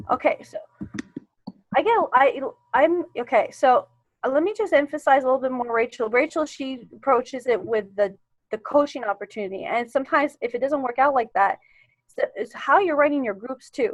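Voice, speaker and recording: Her voice is high and lively as this woman speaks at a fairly quick pace. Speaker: team coach. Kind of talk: online team Q and A. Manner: halting, repeats words; animated.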